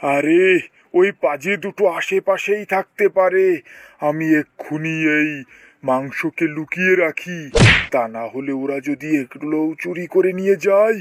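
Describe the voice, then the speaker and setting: In a cartoonish character voice, a man bellows at a fairly slow pace with a fairly high pitch. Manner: roaring, blustering.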